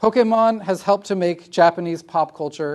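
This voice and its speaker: Against a quiet background, a man speaks at a moderate pace in a high pitch. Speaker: guest lecturer, PhD student. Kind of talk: lecture. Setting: university classroom.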